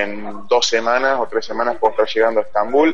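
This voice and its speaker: A fairly fast-talking man, with noticeable background noise behind him. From Argentina, Río Cuarto (Córdoba). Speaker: cycle traveler. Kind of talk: radio interview.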